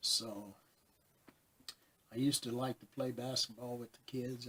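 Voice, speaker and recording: Speaking at a moderate pace, a man has a medium-pitched, somewhat breathy voice. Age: 60s. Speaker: pet nutrition advisor and vlogger. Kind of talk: casual personal vlog talk. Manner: rambling, hesitant with fillers.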